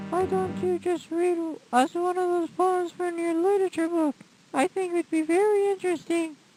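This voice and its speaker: With music in the background, a woman does a squeaky put-on character voice at an extremely high pitch, with fairly even intonation, a moderate pace and a dry, close sound with no echo. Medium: stage play.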